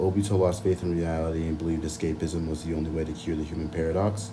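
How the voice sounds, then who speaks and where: A man's very deep, low voice at a moderate pace, with fairly even intonation, audible room echo and noticeable background noise. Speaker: anime video essayist. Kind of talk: casual chat.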